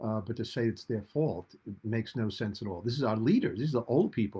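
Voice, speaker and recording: The speech is in an American accent. There is a somewhat breathy quality to it. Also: man. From US Northeast, Rhode Island. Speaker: political commentator. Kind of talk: talk radio political commentary. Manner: animated.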